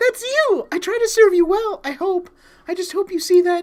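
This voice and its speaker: An extremely high, squeaky put-on character voice with a timid tone moves along at a moderate pace. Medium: game stream. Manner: timid, apologetic.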